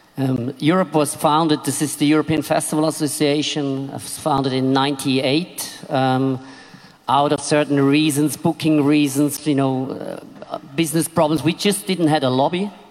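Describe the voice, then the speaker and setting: A man talks at a moderate pace with a fairly high pitch and monotone, flat intonation. Background noise is noticeable. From Switzerland. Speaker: festival promoter. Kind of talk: panel discussion.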